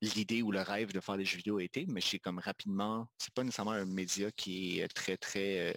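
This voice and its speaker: This man has an unremarkable speaking voice, fairly low in pitch, with fairly even intonation. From Quebec, Magdalen Islands. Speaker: video game designer and studio co-founder. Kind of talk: casual interview chat.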